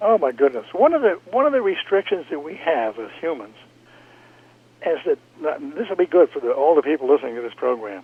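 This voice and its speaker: With very wide pitch swings, a man speaks fairly quickly in a fairly high voice. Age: 80s+. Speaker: retired space engineer. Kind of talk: radio interview. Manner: animated.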